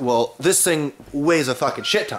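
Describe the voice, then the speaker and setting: A man's voice shows ordinary pitch variation. Noticeable noise lies in the background. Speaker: car hobbyist vlogger. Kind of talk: casual garage vlog. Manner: casual, filler-heavy.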